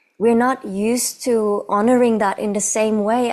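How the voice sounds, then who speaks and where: This woman, who has a non-native accent, speaks at a fairly high pitch with ordinary pitch variation. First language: not English. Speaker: movement artist and choreographer. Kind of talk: casual chat.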